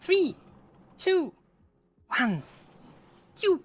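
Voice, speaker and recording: The voice is an exaggerated put-on character. It sits at an extremely high pitch. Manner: playful, imitating a shooting sound.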